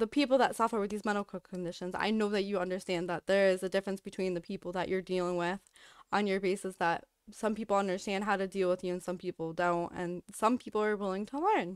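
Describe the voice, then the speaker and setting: A woman's medium-pitched voice at a very fast pace with fairly even intonation, in a dry, close sound with no echo and a very clean recording with a silent background. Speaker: streamer. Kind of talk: casual vlog update.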